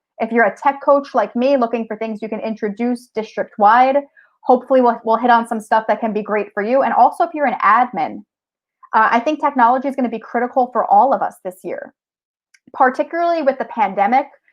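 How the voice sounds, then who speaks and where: Fairly quick, high-pitched speech from a woman, its pitch varying in an ordinary way. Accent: strong New Jersey. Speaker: technology teacher and tech coach. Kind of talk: conference presentation.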